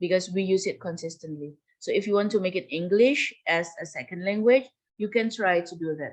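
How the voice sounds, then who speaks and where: With a Javanese accent, a woman talks at a moderate pace and medium pitch, with ordinary pitch variation over a quiet background. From Java, Indonesia. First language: Javanese (speaking Indonesian). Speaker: university lecturer. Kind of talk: lecture. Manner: code-switching Indonesian and English.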